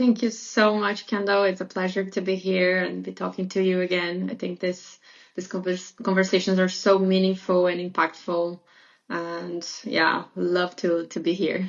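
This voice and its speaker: In a flat monotone, a woman speaks at medium pitch and a moderate pace. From Brazil. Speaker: podcast guest. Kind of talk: casual interview chat. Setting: remote recorded podcast.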